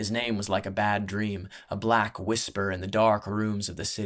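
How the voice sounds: Throughout, a natural reading voice carries the text.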